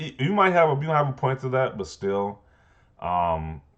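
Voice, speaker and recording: Moderate pace from a male speaker. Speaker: gaming commentary youtuber. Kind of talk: casual commentary reacting to read-out online posts. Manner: halting, repeats words.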